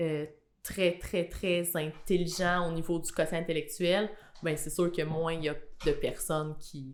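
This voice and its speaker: A woman's very deep, low pitch at a very slow pace. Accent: Quebec. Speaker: podcast guest. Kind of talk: casual interview.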